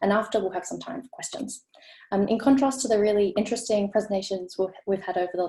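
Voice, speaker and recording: Speaking with an Australian accent, a woman of medium pitch has a somewhat breathy, dark, mellow tone. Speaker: architecture researcher. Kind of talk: presentation. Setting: video call. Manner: fast.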